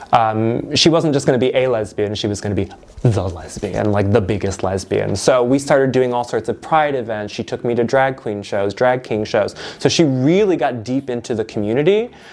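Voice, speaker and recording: Over noticeable background noise, a man speaks at a moderate pace. His pitch is medium, with ordinary variation. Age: 30s. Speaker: university lecturer. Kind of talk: interview testimony.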